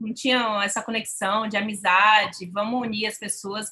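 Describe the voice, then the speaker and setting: Fairly slow and flat, a woman speaks at a fairly high pitch in a bright, sharp tone with monotone intonation. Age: 30s. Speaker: fanfiction writer and site moderator. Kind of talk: casual chat.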